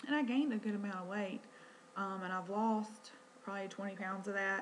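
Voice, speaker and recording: Quiet and in a Southern US accent, a woman talks at a fairly quick pace with a medium pitch and fairly even intonation, with audible room echo. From North Carolina. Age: 30s. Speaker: vlogger, stay-at-home mom. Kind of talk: personal vlog introduction. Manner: hesitant, many fillers.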